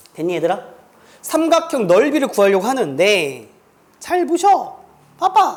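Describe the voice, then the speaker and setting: Long, frequent pauses interrupt speech that moves at a very slow pace. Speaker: math teacher. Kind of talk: classroom lecture. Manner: speeds up when inspired; casual, interactive.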